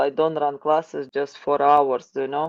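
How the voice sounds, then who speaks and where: In a Ukrainian accent, a woman talks at a fairly slow pace. Her tone is dark and mellow, and the background is quiet. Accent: non-native English, Ukrainian. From Ukraine. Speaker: wrestling coach. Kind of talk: interview. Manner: halting, repetitive.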